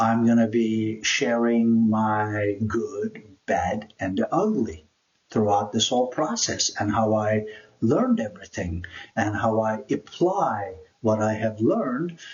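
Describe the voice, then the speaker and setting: A man speaks at a very slow pace and medium pitch with ordinary pitch variation. His voice is somewhat breathy. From Turkey (Istanbul). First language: Turkish. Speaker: YouTuber, immigrant life coach. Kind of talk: personal introduction vlog.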